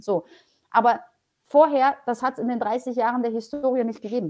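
A woman with a Polish accent, speaking at a fairly quick pace with ordinary pitch variation. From Poland, raised in Germany (Paderborn area). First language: Polish (speaking German). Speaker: public transport executive. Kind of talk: interview.

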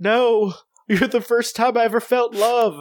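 Someone does a put-on character voice at a moderate pace. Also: man, extremely high pitch for a man. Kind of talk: comic, melodramatic. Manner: desperate, pleading.

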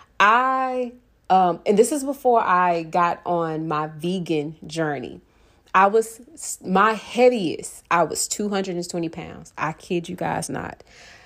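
Speaking fairly slowly, a woman uses a normal speaking voice with fairly low pitch and lively intonation. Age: 20s. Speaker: podcast host. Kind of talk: personal monologue. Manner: casual, with frequent fillers and laughs.

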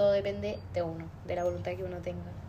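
Very fast speech from a woman amid noticeable background noise and audible room echo. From Chile, Osorno. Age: 20s. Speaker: psychology student. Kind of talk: casual chat.

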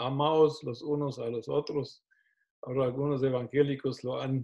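A man talks fairly slowly at a fairly high pitch. His voice is somewhat breathy, with monotone, flat intonation. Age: 60s. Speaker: pastor. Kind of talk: teaching interview. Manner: hesitant, repeats words.

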